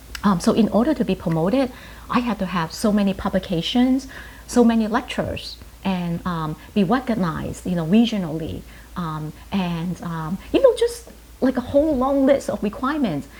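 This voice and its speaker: Lively intonation at a moderate pace, with a Chinese accent. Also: woman, medium pitch for a woman. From Hong Kong, moved to New York at ten. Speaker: pharmacist and professor. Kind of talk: interview. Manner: hesitant, many fillers.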